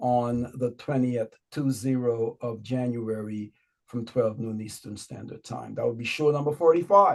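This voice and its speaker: A man at medium pitch with a Guyanese accent, speaking at a fairly slow pace. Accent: Guyanese Berbice. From Guyana, Berbice. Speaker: online show host. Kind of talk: show announcements.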